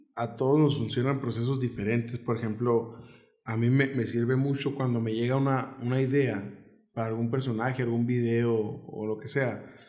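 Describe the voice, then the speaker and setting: The voice has a dark, mellow tone and a monotone, flat intonation. Audible room echo fills the recording. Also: man, medium pitch for a man, moderate pace. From Mexico, Nogales, Sonora. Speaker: comedian. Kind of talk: casual chat.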